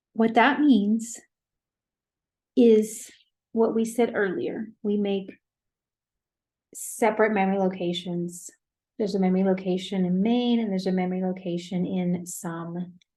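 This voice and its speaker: Audible room echo surrounds a woman speaking at a medium pitch and a fairly slow pace, with long, frequent pauses. Her tone is dark, mellow and somewhat breathy, and her intonation fairly even. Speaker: professor. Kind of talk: lecture.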